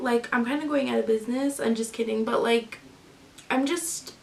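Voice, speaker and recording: A high-pitched woman with noticeable background noise. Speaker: lifestyle vlogger and crafter. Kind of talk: casual vlog talk. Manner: hesitant, many fillers.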